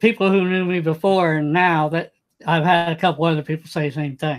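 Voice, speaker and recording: This man's voice sits high in pitch, with fairly even intonation. The recording is very clean, with a silent background. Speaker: deaf drone pilot and cinematographer. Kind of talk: casual interview chat. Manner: halting, repetitive.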